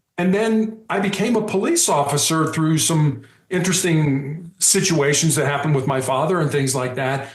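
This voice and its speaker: With audible room echo, a man speaks at a moderate pace and a fairly high pitch, his pitch varying in an ordinary way. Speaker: motivational speaker and cancer patient. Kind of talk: podcast interview. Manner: loud; animated.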